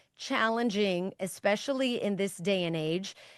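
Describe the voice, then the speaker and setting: Loud, very slow speech from a woman against a quiet background. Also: dry, close sound with no echo. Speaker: parenting author and guest. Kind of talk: interview conversation. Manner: emphatic.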